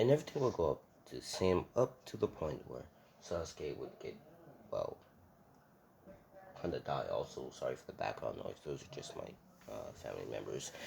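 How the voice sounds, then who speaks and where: With long, frequent pauses, this man keeps a moderate pace while noticeable background noise carries on behind him. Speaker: anime fan video creator. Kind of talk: casual fan-fiction narration. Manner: hesitant, many fillers.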